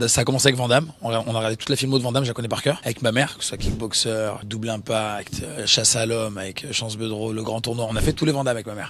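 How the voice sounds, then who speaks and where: Amid noticeable background noise, a man of medium pitch rattles along at a very fast pace with fairly even intonation. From southern France (Nîmes). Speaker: actor. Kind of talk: interview. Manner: casual, hesitant with repetitions.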